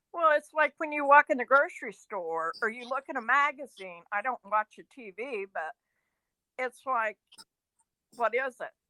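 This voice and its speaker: A woman's high-pitched, raised, projected voice, bright and sharp in tone, with lively intonation, big swings in loudness, a moderate pace, and a dry, close sound with no echo. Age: 60s. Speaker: caller sharing health report. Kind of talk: call-in show testimony.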